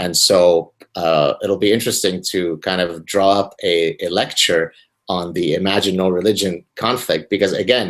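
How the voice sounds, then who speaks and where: A man with an Arabic accent speaks in a very deep, low voice at a moderate pace, his intonation fairly even. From Lebanon. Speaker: professor. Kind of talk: casual chat.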